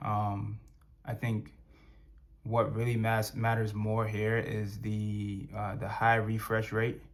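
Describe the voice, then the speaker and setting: A man speaks at a fairly slow pace with a fairly low pitch and monotone, flat intonation, with audible room echo. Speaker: tech reviewer. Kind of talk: product review. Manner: halting, many fillers; casual, conversational.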